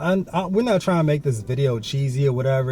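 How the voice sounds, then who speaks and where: A man's fairly high, somewhat breathy voice of dark, mellow tone, with ordinary pitch variation. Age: 20s. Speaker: vlogger and college student. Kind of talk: casual chat. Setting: hot indoor room. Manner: casual, slangy.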